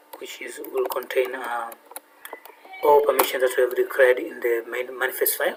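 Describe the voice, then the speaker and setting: Noticeable background noise accompanies a man speaking at a fairly quick pace with big swings in loudness. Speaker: programming tutor. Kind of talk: tutorial. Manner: fast; halting, many fillers.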